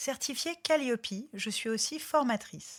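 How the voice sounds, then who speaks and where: At a very slow pace, a somewhat breathy woman makes very wide pitch swings on a very clean recording with a silent background. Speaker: podcast host and business coach. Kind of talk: scripted podcast intro; casual chat.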